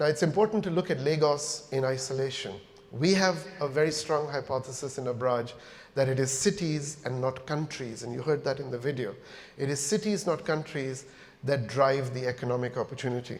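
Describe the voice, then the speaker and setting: A man with a normal speaking voice, fairly high pitch and ordinary pitch variation, at a fairly quick pace. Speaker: company founder and chief executive giving a keynote. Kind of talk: corporate conference keynote speech.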